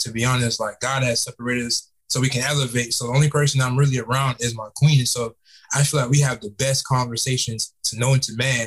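Very fast, somewhat breathy speech from a man with an American accent, medium pitch and fairly even intonation. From South Florida, Fort Lauderdale; Jamaican parents. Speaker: entrepreneur and author. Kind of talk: podcast interview. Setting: call.

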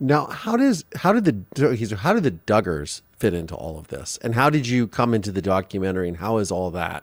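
A man's normal speaking voice, fairly low in pitch, at a fairly quick pace with hardly any pauses, lively intonation and big swings in loudness. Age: 40s. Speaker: podcast host. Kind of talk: interview.

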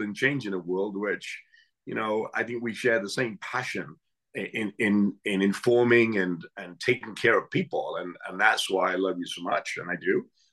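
A man with an English accent, medium in pitch, at a moderate pace with ordinary pitch variation, over a quiet background. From England. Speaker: chef and Navy veteran. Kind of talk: interview conversation.

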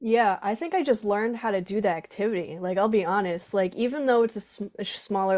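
Heard in a very clean recording with a silent background, a normal speaking voice with an American accent moves at a fairly quick pace with ordinary pitch variation. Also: woman. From southeastern Connecticut, US. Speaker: drum corps performer and band instructor. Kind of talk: casual interview.

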